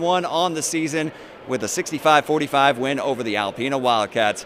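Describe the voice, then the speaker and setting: The speech comes at a very fast pace with lively intonation, over noticeable background noise. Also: man. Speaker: sports anchor and play-by-play announcer. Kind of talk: post-game interview questions to a player.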